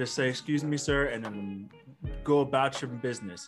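There is music in the background as a man speaks at a moderate pace. His pitch is fairly high, and his intonation stays fairly even. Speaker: podcast co-host. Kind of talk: casual slang, profane.

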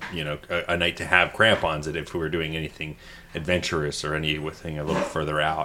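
Against noticeable background noise, a man with a Canadian accent talks at a very fast pace in a very deep, low pitch with monotone, flat intonation. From Ontario, Canada. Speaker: podcast host. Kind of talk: casual chat. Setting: studio.

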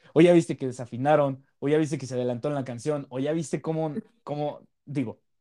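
With a Mexican accent, a man talks at a fairly quick pace in a fairly high pitch, his tone dark and mellow and his intonation fairly even. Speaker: podcast host. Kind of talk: casual chat.

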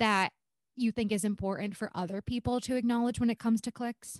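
Delivered at a fairly quick pace with fairly even intonation, this unremarkable speaking voice sounds dry and close with no echo, on a very clean recording with a silent background. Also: woman. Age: 20s. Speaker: podcast co-host. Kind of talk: casual chat.

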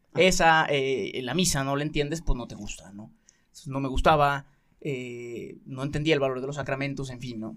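Speaking at a moderate pace with a Mexican accent, a man uses a fairly high pitch and makes big swings in loudness. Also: ordinary pitch variation. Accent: Mexican Spanish (Jalisco). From Mexico, Guadalajara. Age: 20s. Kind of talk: radio interview, testimony.

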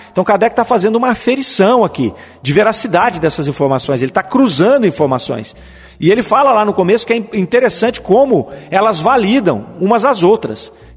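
A man speaks at a fairly quick pace in a high pitch, with lively intonation. His loudness stays very even. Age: 50s. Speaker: spiritist radio program host. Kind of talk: lecture-style commentary on spiritist texts. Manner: halting, with fillers.

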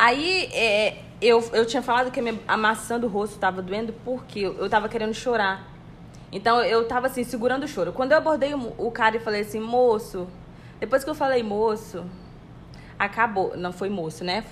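Speaking at a moderate pace, a woman uses a plain, everyday voice whose fairly high pitch varies in an ordinary way. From Brazil. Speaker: podcast co-host, office worker. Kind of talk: casual chat.

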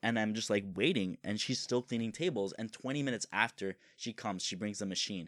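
A man speaks in a fairly low pitch with ordinary pitch variation. The recording is very clean with a silent background and has a dry, close sound with no echo. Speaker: podcast host. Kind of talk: casual chat.

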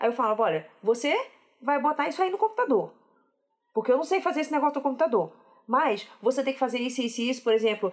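A woman with a high pitch talks at a very fast pace with very wide pitch swings and long, frequent pauses. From Rio de Janeiro, Brazil. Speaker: software developer. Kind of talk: casual chat.

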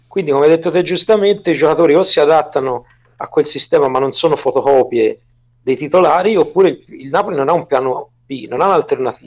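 With a strong Tuscan accent, a man speaks at a fairly high pitch with ordinary pitch variation. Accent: heavy Tuscan. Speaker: football analyst. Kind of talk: casual chat.

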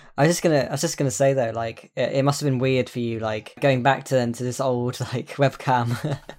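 Using a plain, everyday voice, a man speaks fairly quickly at a medium pitch with fairly even intonation. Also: hardly any pauses. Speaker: podcast host. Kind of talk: casual chat.

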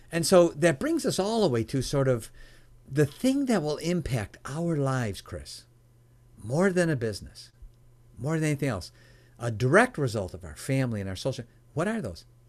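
A man speaks at a fairly high pitch with very wide pitch swings. He leaves long, frequent pauses. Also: moderate pace. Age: 60s. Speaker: entrepreneur and mentor. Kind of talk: interview.

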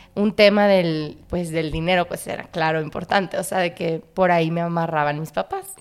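A woman talks at a moderate pace with hardly any pauses, her fairly low voice flat and monotone over noticeable background noise. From Monterrey, northern Mexico. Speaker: actress and visual artist. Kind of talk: casual chat.

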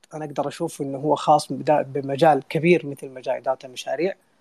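With an unremarkable speaking voice, a man of fairly high pitch talks at a moderate pace, recorded with a dry, close sound and no echo. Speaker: community co-founder and online audio room host. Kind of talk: casual panel discussion. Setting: online audio room.

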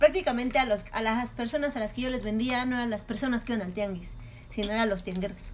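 Speaking at a fairly quick pace, a woman with a fairly high pitch and ordinary pitch variation is heard over noticeable background noise. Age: 20s. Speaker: chef and restaurant entrepreneur. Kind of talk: casual interview.

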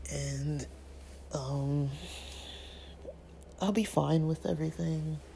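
The tone is dark and mellow, with a slow pace and fairly even intonation. Creaky vocal fry runs through the voice.

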